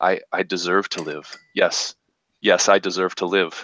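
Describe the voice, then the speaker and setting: A man's put-on character voice, very deep and low in pitch, monotone and flat, with a dry, close sound and no echo. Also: moderate pace. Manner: hardened, confident.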